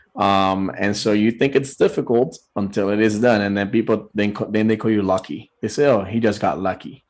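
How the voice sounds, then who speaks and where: With a Puerto Rican accent, the speaker goes at a moderate pace with hardly any pauses and fairly even intonation over a quiet background. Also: man, fairly low pitch for a man. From Puerto Rico. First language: Spanish. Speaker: business owner, show guest. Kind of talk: interview; promotional offer.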